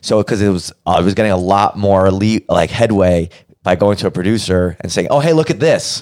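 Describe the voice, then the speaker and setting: A man with an American accent talks at a fairly quick pace. His is an ordinary speaking voice, fairly low in pitch with ordinary pitch variation. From Brooklyn, New York. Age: young. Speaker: podcast producer and host. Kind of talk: casual chat.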